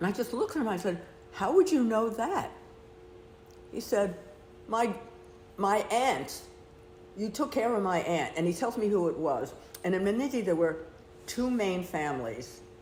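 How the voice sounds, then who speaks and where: In an American accent, a woman speaks at a moderate pace, her pitch swinging very widely. Long, frequent pauses break up her speech, and room echo is audible. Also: medium pitch for a woman. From United States. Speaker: retired nurse. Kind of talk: casual chat. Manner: animated.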